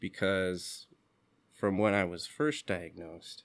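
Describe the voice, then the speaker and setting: A man with a fairly low voice speaks at a fairly slow pace, using ordinary pitch variation. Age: 30s. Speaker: musician and graduate student. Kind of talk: casual interview. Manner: hesitant, many fillers.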